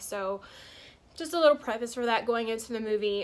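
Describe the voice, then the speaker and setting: Her tone bright and sharp, a woman speaks with ordinary pitch variation. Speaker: YouTube movie reviewer. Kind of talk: casual vlog review. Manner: fast; halting, lots of fillers.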